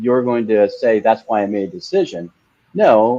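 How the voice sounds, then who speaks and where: Moderate pace and medium pitch from a man with a plain, everyday voice. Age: 60s. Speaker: franchise company co-founder and president. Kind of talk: interview. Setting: livestream interview.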